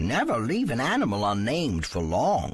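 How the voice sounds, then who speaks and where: A put-on character voice swings through very wide pitch changes. The pace is moderate. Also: man. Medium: read story. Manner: warm, cryptic.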